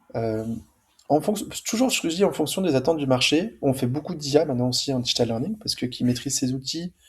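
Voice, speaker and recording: A somewhat breathy man with lively intonation and a fairly quick pace, in a very clean recording with a silent background. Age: 40s. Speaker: school founder and entrepreneur. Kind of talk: podcast interview. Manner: casual.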